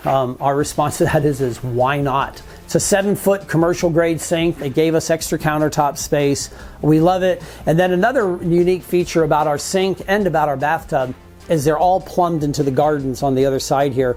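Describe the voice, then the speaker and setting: In a normal speaking voice, a man talks at a fairly quick pace and fairly high pitch, with ordinary pitch variation and very even loudness. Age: 60s. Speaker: tiny home owner. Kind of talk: home tour.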